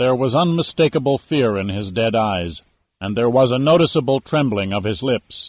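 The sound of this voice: Lively intonation marks an unforced reading voice set against a quiet background.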